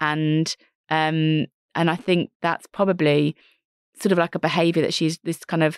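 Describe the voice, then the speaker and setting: A woman speaks at a very deep, low pitch with fairly even intonation, in a dry, close sound with no echo against a quiet background. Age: 40s. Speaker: entrepreneur and careers author. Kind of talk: interview.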